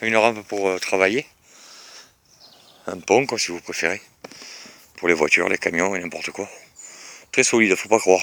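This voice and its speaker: The speech moves at a moderate pace with ordinary pitch variation. Loudness swings widely, and long pauses come often. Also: man, fairly low pitch for a man. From Bordeaux, France. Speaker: vlogger. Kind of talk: casual property walkthrough video. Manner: hesitant, many fillers.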